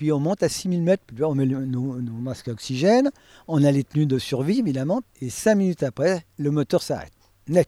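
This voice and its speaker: The recording sounds dry and close, with no echo. A man with a fairly high pitch and a dark, mellow tone talks at a moderate pace with ordinary pitch variation. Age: 70s. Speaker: veteran private pilot. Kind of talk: storytelling interview.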